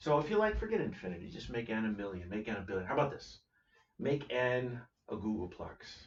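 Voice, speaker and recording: Audible room echo surrounds a somewhat breathy man speaking at a fairly quick pace. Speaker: math teacher. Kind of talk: lecture. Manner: fast.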